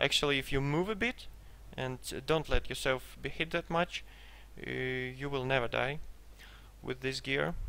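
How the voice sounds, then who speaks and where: A man is speaking with a Russian accent. His pace is moderate. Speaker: gamer selling a game character. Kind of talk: gameplay commentary. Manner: hesitant, many fillers.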